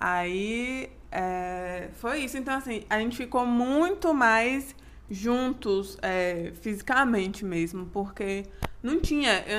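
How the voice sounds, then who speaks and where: A woman speaks at a very slow pace, her pitch fairly high. Her intonation is lively. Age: 20s. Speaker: podcast co-host. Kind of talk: casual chat.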